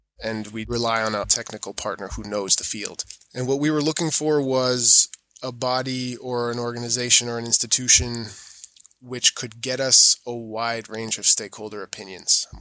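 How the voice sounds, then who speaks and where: Speaking with an American accent, a man keeps a medium pitch, fairly even intonation and a moderate pace. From Europe, US-born with American mother. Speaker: certification auditor. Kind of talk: interview conversation.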